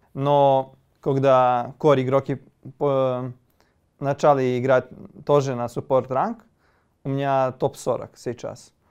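A man with a Serbian accent speaks at a very slow pace in a monotone, flat delivery, leaving long, frequent pauses. The background is quiet. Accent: Serbian accent in Russian. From Serbia (Kosovo, Gračanica). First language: Serbian (speaking Russian). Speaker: esports player. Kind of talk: interview. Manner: halting. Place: home room. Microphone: lapel.

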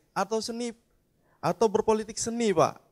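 A man speaks at a moderate pace. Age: young. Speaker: audience member. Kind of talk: audience question.

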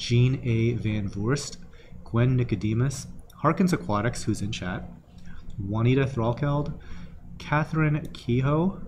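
A somewhat breathy man at a fairly slow pace over noticeable background noise. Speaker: shop host. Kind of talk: live show host reading thank-yous.

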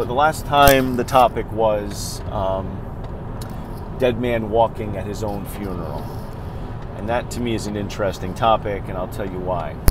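The speech moves at a moderate pace with fairly even intonation and long, frequent pauses. The sound is dry with no echo, though noticeable background noise is present. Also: man, fairly low pitch for a man. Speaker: funeral professional vlogger. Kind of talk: casual vlog chat. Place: car. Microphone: earbuds.

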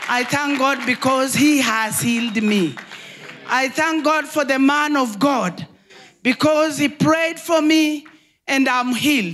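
Speaking very slowly, a woman uses a high pitch with ordinary pitch variation. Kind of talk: testimony. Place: hall. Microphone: handheld.

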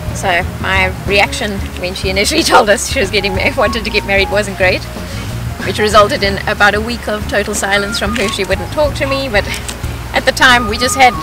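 A woman at a fairly quick pace, with clear music in the background and a dry sound with no echo. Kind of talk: interview answer. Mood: reflective, lightly humorous. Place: open country.

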